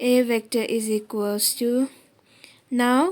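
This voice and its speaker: In a Nepali accent, a woman speaks at a fairly high pitch with ordinary pitch variation. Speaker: math tutor. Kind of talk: tutorial. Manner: casual, informal.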